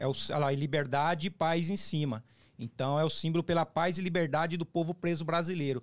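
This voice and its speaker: Against a quiet background, a man talks in an animated tone at a fairly quick pace. His loudness stays very even. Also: fairly high pitch for a man. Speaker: former prisoner, YouTuber on resocialization. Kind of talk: casual interview, life story. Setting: studio. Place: studio. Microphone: studio mic.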